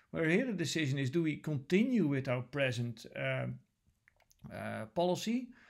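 A man with a Dutch accent speaks over a quiet background. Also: moderate pace. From Netherlands. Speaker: lecturer. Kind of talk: lecture. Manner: hesitant, many filler sounds. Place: home room. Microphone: webcam.

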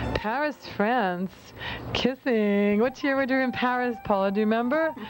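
Over music in the background, a woman speaks at a high pitch and a moderate pace with ordinary pitch variation and very even loudness, in a dry sound with no echo. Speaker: interviewer. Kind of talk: interview question. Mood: warm, encouraging. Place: home room.

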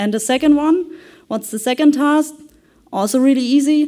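A woman speaks at a moderate pace in a dark, mellow tone, with a quiet background. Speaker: conference presenter. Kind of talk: conference presentation. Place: hall.

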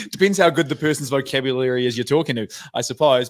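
Against a quiet background, a man with a New Zealand accent speaks very fast at a fairly high pitch, with ordinary pitch variation. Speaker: internet personality, sports bettor; podcast guest. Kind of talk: casual chat. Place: home room. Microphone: studio mic.

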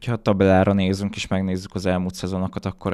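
In a very deep, low pitch, a man talks over a quiet background. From Hungary. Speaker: football podcast host; podcast host. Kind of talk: casual chat. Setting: studio. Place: studio. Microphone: studio mic.

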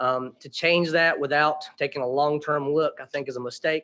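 With an Appalachian accent, a man talks at a moderate pace in a fairly high pitch, his pitch varying in an ordinary way. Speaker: resident speaking at public hearing. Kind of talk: public comment. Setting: council meeting. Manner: halting.

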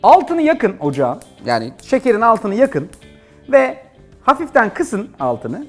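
Over faint music in the background, a man speaks in a high voice. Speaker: TV cooking show host. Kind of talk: cooking tutorial. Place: studio. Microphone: lapel.

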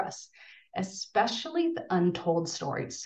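The background stays quiet while this woman talks. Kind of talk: lecture. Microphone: webcam.

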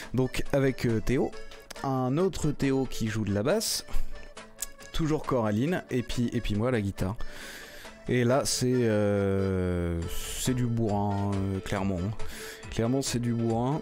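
Faint music plays in the background as a man speaks very slowly with long, frequent pauses. His loudness is very even and his pitch varies in an ordinary way. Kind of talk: interview answer. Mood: relaxed, friendly. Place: studio. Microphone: studio mic.

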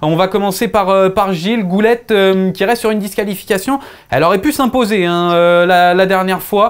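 A man with a high pitch speaks at a moderate pace. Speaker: show host. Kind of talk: sports presenting and debate moderation. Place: studio. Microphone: lapel.

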